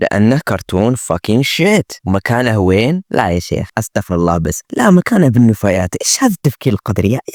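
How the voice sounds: A man's fairly low voice, fast-paced with few pauses and big pitch swings, slightly mellow in tone, in a dry, close sound with no echo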